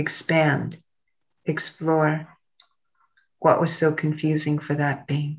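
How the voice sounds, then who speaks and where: Over a quiet background, a woman speaks very slowly at a very deep, low pitch in a somewhat breathy, soothing, warm tone, with monotone, flat intonation and long, frequent pauses. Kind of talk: guided meditation and ritual, leading listeners through the grief wheel. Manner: slow, soothing and meditative, with long pauses and repeated phrases; reverent, incantatory and warm, addressing listeners directly as a guide.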